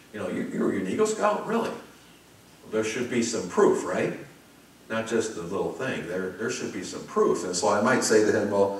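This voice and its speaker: In a room with audible echo and noticeable background noise, a man with an American accent speaks at a moderate pace in a medium pitch, his voice making very wide pitch swings. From US Midwest, Chicago. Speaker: pastor. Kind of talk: sermon. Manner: conversational, with frequent fillers.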